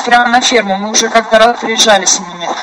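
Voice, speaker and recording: Speaking at a very fast pace, a woman uses a fairly high pitch with ordinary pitch variation against noticeable background noise. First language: Russian. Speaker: conference call organizer. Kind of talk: casual chat.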